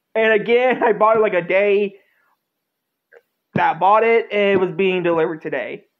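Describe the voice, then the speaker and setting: The voice moves at a moderate pace against a quiet background. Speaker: unboxing vlogger. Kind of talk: casual vlog chat. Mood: excited, happy. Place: home room. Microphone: phone near.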